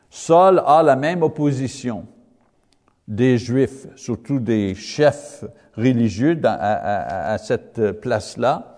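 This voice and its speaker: Speaking very slowly with a non-native accent, a man uses lively intonation. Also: medium pitch for a man. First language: English (speaking French). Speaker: Bible teacher. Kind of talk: Bible lesson. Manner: halting, many hesitations.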